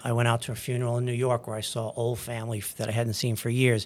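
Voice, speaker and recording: The recording is very clean, with a silent background. A man speaks at medium pitch in a monotone, flat intonation. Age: 60s. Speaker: anesthesiologist and church deacon. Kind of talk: interview about faith journey.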